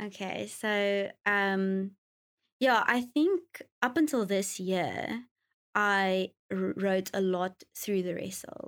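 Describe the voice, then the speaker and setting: A woman with a South African accent speaks at a very slow pace. Her pitch shows ordinary variation, on a very clean recording with a silent background. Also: medium pitch for a woman. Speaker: worship leader and songwriter. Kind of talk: casual interview chat.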